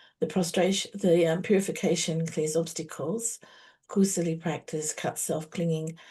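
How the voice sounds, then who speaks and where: Against a quiet background, the voice is somewhat breathy. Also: woman. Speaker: meditation teacher. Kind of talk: spiritual teaching session. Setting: online video call. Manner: fast.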